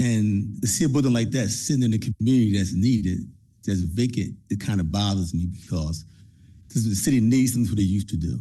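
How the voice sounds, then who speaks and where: A dark, mellow, somewhat breathy voice with an American accent, fairly quick in pace with ordinary pitch variation and audible room echo. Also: man, fairly low pitch for a man. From Trenton, New Jersey. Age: 60s. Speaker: community program leader. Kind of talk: public comment at council meeting.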